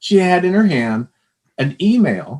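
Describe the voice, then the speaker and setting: A man's normal speaking voice, lively in intonation, at a fairly slow pace. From Texas. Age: 60s. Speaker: former psychology professor. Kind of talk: interview.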